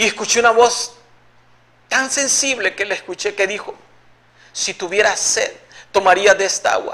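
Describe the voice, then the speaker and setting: A man with a high pitch speaks in a raised, projected voice with fairly even intonation and long, frequent pauses. Noticeable background noise is present. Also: moderate pace. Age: 60s. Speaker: evangelical believer giving testimony. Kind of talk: religious testimony.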